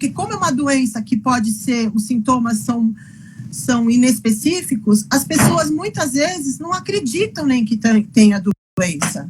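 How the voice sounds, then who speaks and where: Over noticeable background noise, a woman speaks in a fairly high pitch with very wide pitch swings. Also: fairly slow pace. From Brazil, interior of São Paulo state. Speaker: physician and patient advocate. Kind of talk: interview. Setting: live video call. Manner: halting, many repetitions.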